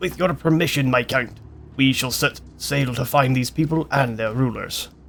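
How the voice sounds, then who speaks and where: A man's put-on character voice at medium pitch, over clear background noise. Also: moderate pace. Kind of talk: formal, archaic.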